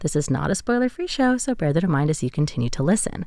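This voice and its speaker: A woman talks in an ordinary speaking voice, fairly low in pitch, with lively intonation. The recording is very clean, with a silent background. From USA. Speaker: radio host. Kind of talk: interview. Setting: studio.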